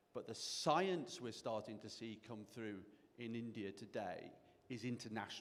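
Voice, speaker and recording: A man with a British accent at a moderate pace. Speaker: angel investor and mentor. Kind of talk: panel discussion.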